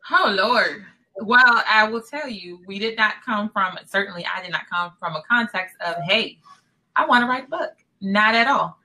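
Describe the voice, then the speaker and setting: A woman's fairly high voice, an unremarkable speaking voice, with lively intonation and big swings in loudness. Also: moderate pace. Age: 40s. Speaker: podcast co-host, author. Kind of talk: casual chat.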